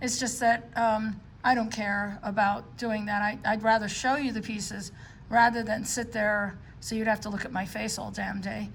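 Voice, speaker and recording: A woman's fairly high, monotone voice in a New York accent, at a moderate pace, with audible room echo. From New York City. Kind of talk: show-and-tell video. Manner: casual, many filler words.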